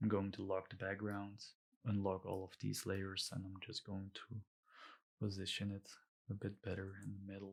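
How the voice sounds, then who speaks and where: In a very clean recording with a silent background, a man speaks at a moderate pace with monotone, flat intonation and long, frequent pauses. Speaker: illustrator. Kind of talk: tutorial. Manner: hesitant, many fillers.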